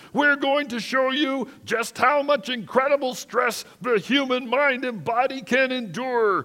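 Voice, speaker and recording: In a put-on character voice, a man talks at a fairly slow pace with a stern, raspy tone at an extremely high pitch. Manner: stern, commanding.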